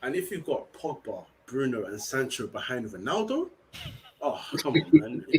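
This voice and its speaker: A man speaks with a London accent at a moderate pace. His loudness swings widely, and he leaves long, frequent pauses. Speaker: football podcast panelist. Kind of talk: casual chat. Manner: animated.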